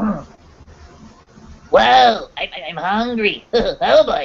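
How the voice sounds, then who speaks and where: A put-on character voice pitched fairly high. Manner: cartoonish, goofy.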